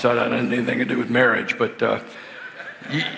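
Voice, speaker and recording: Both audible room echo and noticeable background noise accompany a man speaking at medium pitch. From US South, lower Alabama. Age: 70s. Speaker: marriage conference speaker. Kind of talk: sermon-style seminar talk. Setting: church. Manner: casual, halting with fillers.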